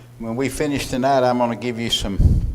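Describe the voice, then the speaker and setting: With noticeable background noise and audible room echo, a man speaks at medium pitch with fairly even intonation. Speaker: Bible class teacher. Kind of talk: Bible class lecture. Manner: loud.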